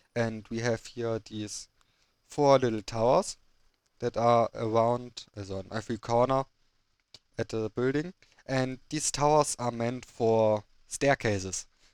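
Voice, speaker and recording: On a very clean recording with a silent background and a dry, close sound with no echo, a man with a German accent speaks in a medium pitch at a fairly slow pace, his intonation fairly even and broken by long, frequent pauses. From Germany. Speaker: gaming video creator. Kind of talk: gameplay commentary. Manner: halting.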